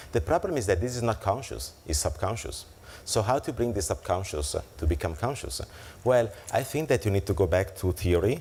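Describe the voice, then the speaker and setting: A man with an Italian accent and a fairly low pitch talks at a fairly quick pace with very wide pitch swings. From Italy. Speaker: keynote speaker on financial technology. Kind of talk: conference keynote and Q&A. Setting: conference luncheon with audience. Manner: hesitant with fillers.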